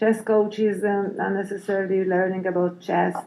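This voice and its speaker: Her pitch is medium, and the woman speaks in a Hungarian accent. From Hungary. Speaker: head teacher. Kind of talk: interview. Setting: conference. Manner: halting, many fillers.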